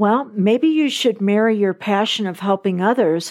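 In a very clean recording with a silent background, a woman talks at a moderate pace in a plain, everyday voice. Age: 60s. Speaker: life coach podcast host. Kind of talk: solo motivational talk.

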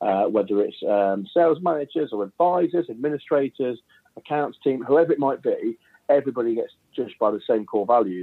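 A man speaks at a fairly quick pace with an East Midlands accent. His pitch is medium. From England, Leicestershire. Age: 30s. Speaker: mortgage business owner. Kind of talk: interview.

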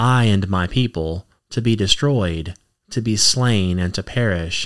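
Lively intonation in a very clean recording with a silent background. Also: man. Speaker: podcast host and ministry reader. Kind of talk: scripture reading aloud. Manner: slow, easy-listening pace.

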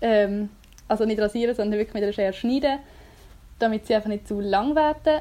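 A woman with a fairly high, dark, mellow voice speaks at a moderate pace with ordinary pitch variation. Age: 20s. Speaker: childcare worker. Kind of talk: casual chat.

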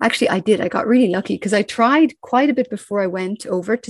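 In an Irish accent, a woman talks very fast at a medium pitch with ordinary pitch variation, in a dry, close sound with no echo. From Ireland. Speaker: crime novelist. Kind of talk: interview.

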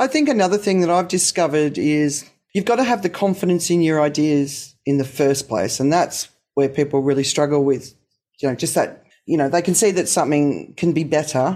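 On a very clean recording with a silent background, a woman with an Australian accent speaks fairly quickly in a very deep, low pitch and a dark, mellow tone, with ordinary pitch variation and very even loudness. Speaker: podcast host. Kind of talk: casual interview.

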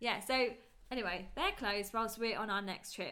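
A woman's bright, sharp voice in a British accent. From UK. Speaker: podcast co-host, wedding photographer. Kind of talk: casual chat. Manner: fast.

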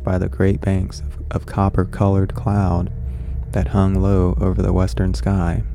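With music playing in the background, a man with a very deep, low pitch speaks using lively intonation. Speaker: horror podcast host and story reader. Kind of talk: literary audiobook reading, story narrated in first person with a measured, dramatic tone. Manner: casual, excitable, chatty host; in the story, calm and deliberate narrator, somewhat formal and period-styled.

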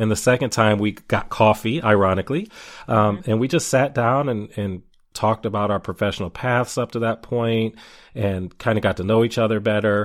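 On a very clean recording with a silent background, a man speaks in a plain, everyday voice at a moderate pace and a medium pitch, with ordinary pitch variation. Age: 40s. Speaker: podcast host. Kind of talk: interview.

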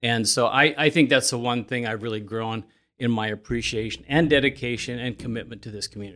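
Fairly quick male speech at medium pitch, bright and sharp in tone, with big swings in loudness, in a very clean recording with a silent background. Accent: Midwestern American. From Indiana, Elkhart County. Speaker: coffee shop owner. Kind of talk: interview.

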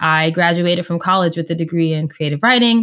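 This is an unremarkable speaking voice. A woman speaks at a fairly low pitch. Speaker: coach and podcast host. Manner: articulate, clear.

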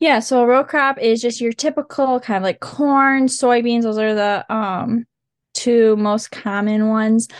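Speaking with an Upper Midwest accent, a woman keeps her intonation fairly even. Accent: Upper Midwest American. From western Michigan, Oceana County. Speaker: agriculture student ambassador. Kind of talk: casual interview.

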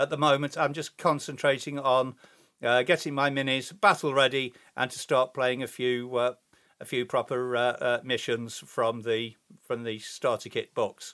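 In an English accent, a man speaks at a moderate pace and medium pitch, his tone bright and sharp and his intonation fairly even, on a very clean recording with a silent background. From England. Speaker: hobby podcaster. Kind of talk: casual solo podcast monologue. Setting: home recording. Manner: hesitant, many fillers.

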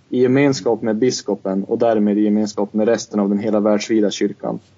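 A man at medium pitch delivers his words in a monotone, flat intonation. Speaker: podcast co-host; student. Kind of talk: casual discussion. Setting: Skype call.

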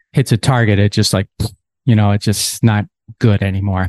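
At a fairly quick pace, a man talks in a dark, mellow tone. The sound is dry and close with no echo over a quiet background. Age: 50s. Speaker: podcast host. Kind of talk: solo podcast monologue. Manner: casual, with frequent repeated words.

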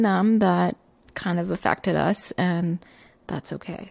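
A woman speaks at a fairly slow pace, her medium pitch carrying a warm, enthusiastic tone. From Barbados and Canada. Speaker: photographer and photography coach, podcast host. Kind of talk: casual solo podcast storytelling, unscripted. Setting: recording alone in a room with pictures on the walls. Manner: warm, enthusiastic, animated.

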